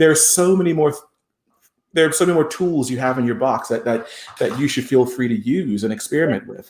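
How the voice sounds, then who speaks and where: Ordinary pitch variation and a fairly quick pace in a normal speaking voice. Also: man. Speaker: countertenor singer. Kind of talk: interview answer.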